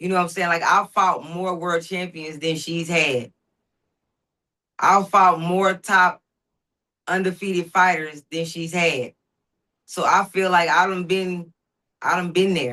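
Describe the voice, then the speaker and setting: A woman's fairly low, bright, sharp voice in a Southern US accent, with fairly even intonation, a fairly slow pace, and long, frequent pauses. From US South, Dallas, Texas (Oak Cliff). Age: 40s. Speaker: professional boxer. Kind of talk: interview.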